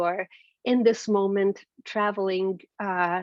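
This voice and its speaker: A woman with a Hungarian accent speaks at medium pitch with fairly even intonation. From Transylvania, Romania. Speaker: keynote speaker. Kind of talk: speech. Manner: halting, many fillers.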